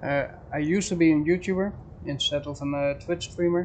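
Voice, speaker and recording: Someone with a Dutch accent talks at a moderate pace over noticeable background noise. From Netherlands. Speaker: game streamer. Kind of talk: casual live stream chat with gameplay.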